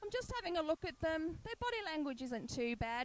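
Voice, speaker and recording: This woman has an Australian accent. She speaks at a fairly quick pace. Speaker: sports commentator. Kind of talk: live commentary.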